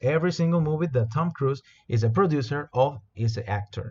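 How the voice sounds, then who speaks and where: Somewhat breathy and in a Spanish accent, the speaker talks at a moderate pace with lively intonation. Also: man. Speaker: corporate trainer. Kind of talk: product training presentation. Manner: halting, many repetitions and fillers.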